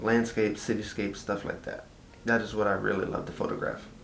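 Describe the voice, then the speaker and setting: A man with a Texan accent and a fairly low pitch talks very fast in a monotone, flat delivery, with audible room echo and noticeable background noise. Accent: Texas Southern. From Texas. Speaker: vlogger. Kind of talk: casual chat. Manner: casual, lots of fillers.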